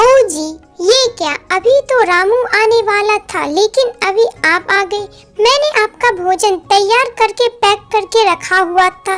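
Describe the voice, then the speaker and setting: A woman does a cartoonish character voice at an extremely high pitch, speaking at a fairly slow pace. Faint music plays in the background. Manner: chatty, animated.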